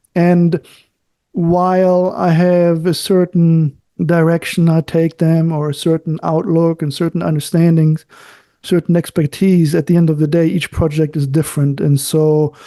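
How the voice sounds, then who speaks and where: A man speaks at a moderate pace with a high pitch and a dark, mellow tone. His intonation is monotone and flat, and the sound is dry and close with no echo. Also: very even loudness. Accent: German. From Germany. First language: German. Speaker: architect and author. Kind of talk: interview conversation. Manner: halting, searches for words.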